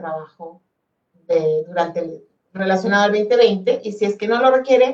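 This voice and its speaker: Speaking fairly quickly, a woman keeps to a medium pitch. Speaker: education ministry specialist. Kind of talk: webinar presentation. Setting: online webinar. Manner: fast.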